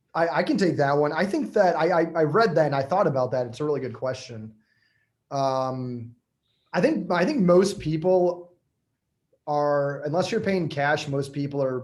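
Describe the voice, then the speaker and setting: A man's normal speaking voice with an American accent, fairly high in pitch, with ordinary pitch variation at a moderate pace. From Michigan. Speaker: real estate agent. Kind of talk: webinar panel answering questions.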